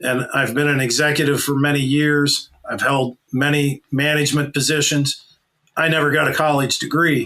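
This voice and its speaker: Keeping his loudness very even, a man speaks at a moderate pace with a fairly high pitch and flat, monotone intonation. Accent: Pennsylvania. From small-town Pennsylvania, USA. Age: 40s. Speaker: leadership consultant and business executive. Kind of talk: podcast interview answer.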